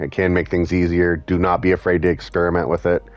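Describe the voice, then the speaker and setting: Over music in the background, a man with a very deep, low pitch speaks at a moderate pace. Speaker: fighting game tutorial presenter. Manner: stutters, stumbles over words; frequent filler words and self-corrections.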